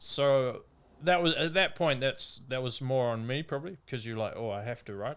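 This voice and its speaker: A man with a normal speaking voice and medium pitch talks at a fairly quick pace with ordinary pitch variation, on a very clean recording with a silent background. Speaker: downhill mountain bike racer. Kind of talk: podcast interview answer. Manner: casual, conversational.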